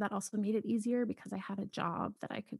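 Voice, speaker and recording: A woman with an American accent speaks at a fairly quick pace in a fairly high pitch, somewhat breathy. Her pitch varies in an ordinary way, and the sound is dry and close with no echo. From Boston, US Northeast. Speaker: podcast host and author. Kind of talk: casual chat.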